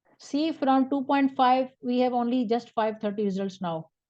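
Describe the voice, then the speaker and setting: A woman talks in a plain, everyday voice at a moderate pace, her intonation lively. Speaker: research methods instructor. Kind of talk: live online tutorial. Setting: Zoom video call.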